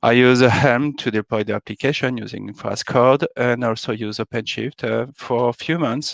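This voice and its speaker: A man with a French accent and a medium pitch talks at a moderate pace with fairly even intonation over a quiet background. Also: dry, close sound with no echo. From France. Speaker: software architect, conference speaker. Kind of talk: conference talk. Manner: hesitant, many filler sounds.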